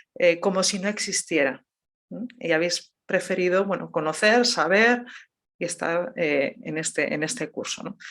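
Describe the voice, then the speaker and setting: A woman speaks at a fairly slow pace, using ordinary pitch variation. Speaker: theology professor. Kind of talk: lecture. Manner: measured pace.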